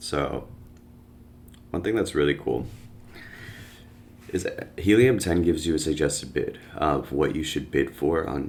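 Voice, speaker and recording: The voice has vocal fry, ordinary pitch variation and a moderate pace. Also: man. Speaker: online business educator. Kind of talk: screen-share tutorial. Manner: casual, filler-heavy.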